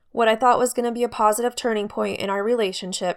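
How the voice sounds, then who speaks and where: On a very clean recording with a silent background, a woman speaks at a very fast pace with fairly even intonation. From US, Idaho. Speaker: podcaster sharing survivor story. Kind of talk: personal storytelling.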